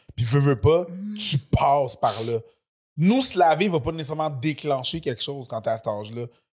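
Against a quiet background, a man with a fairly high voice speaks at a moderate pace with lively intonation. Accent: Quebec. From Quebec. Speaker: podcast host; comedian. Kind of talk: casual chat; read-out ad. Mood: relaxed, joking. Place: studio. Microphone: studio mic.

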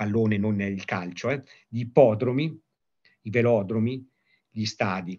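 This man's pitch rises and falls in an ordinary way. Behind him, all is quiet. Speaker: sport historian; history lecturer. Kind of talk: lecture. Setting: video call. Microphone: video call.

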